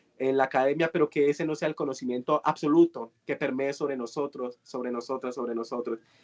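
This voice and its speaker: A man with an unremarkable speaking voice, fairly high pitch, fairly quick pace and fairly even intonation, in a dry, close sound with no echo. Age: 20s. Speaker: youth course facilitator. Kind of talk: online workshop discussion.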